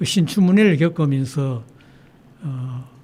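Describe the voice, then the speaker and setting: A man's fairly high voice, somewhat breathy, with a dark, mellow tone. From South Korea, Sangju, North Gyeongsang. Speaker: children's poet and retired school principal. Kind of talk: radio interview. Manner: halting.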